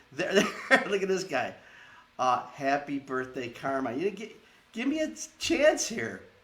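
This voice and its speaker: A man's high, animated voice with very wide pitch swings, a fairly slow pace and long, frequent pauses, against noticeable background noise. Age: 60s. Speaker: theater owner and online show host. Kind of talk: show introduction; casual chat.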